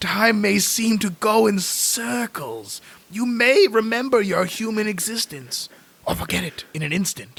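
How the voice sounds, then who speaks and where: A man puts on a strained, gravelly character voice, pitched high. He talks at a moderate pace. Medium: actual play. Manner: slow, solemn, cryptic.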